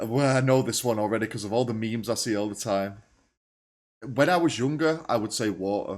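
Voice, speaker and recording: In a northern English accent, a man with a medium pitch talks at a fairly quick pace in a very clean recording with a silent background. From northern England. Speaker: reaction YouTuber. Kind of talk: casual reaction commentary.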